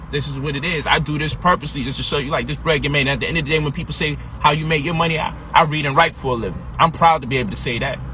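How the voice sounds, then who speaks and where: Someone talks at a very fast pace with an American accent. There is noticeable background noise. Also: man. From Brooklyn, New York (Brownsville, East New York). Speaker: financial coach and author. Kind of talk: motivational sales pitch. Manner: animated, street-casual.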